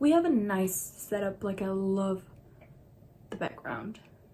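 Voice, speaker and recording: A somewhat breathy woman's voice with a dark, mellow tone and ordinary pitch variation. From Nepal. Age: 20s. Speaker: beauty vlogger. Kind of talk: casual chat. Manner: casual.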